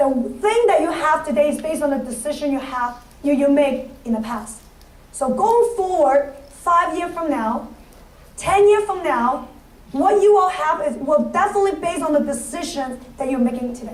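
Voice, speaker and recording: A woman at a moderate pace, high-pitched and lively in intonation, with audible room echo and noticeable background noise. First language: not English. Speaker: financial services business leader. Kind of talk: motivational speech. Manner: halting.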